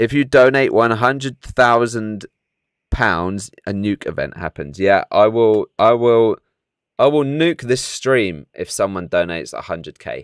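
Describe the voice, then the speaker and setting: With a British accent, a man speaks at a fairly slow pace and with lively intonation. The recording is very clean, with a silent background and a dry, close sound free of echo. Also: medium pitch for a man. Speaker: gaming streamer. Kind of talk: live stream commentary. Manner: animated.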